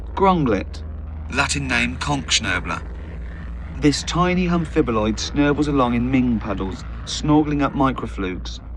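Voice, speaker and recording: A man speaks fairly slowly in a very deep, low voice, his pitch swinging very widely over noticeable background noise. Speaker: comedian, author. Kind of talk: audiobook reading.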